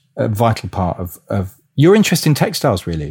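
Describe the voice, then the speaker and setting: A man with a British accent speaks at a fairly quick pace in a dark, mellow tone. His voice is somewhat breathy, with very wide pitch swings. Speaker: podcast host. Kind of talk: interview. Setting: video call.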